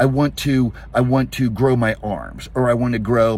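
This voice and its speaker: A man speaks at a moderate pace with medium pitch and fairly even intonation. Noticeable background noise runs underneath. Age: 60s. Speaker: fitness coach. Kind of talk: casual talk to camera. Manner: halting.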